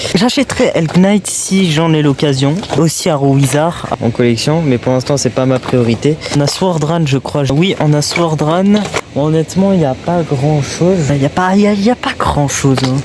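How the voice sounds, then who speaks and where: Soft-spoken man at a moderate pace, fairly high in pitch, with very even loudness and noticeable background noise. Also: ordinary pitch variation. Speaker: toy hunting YouTuber. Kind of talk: vlog. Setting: in shops.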